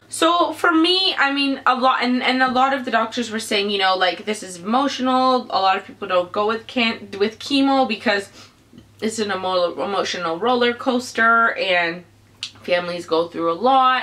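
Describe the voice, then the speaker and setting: The speaker keeps a moderate pace and lively intonation. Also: woman, fairly high pitch for a woman. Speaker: vlogger, parent of child with cancer. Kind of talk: personal testimony vlog. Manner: halting.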